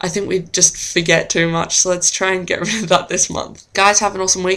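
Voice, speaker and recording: A woman talks at a very fast pace. Noticeable background noise runs under her voice. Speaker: vlogger. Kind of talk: casual chat.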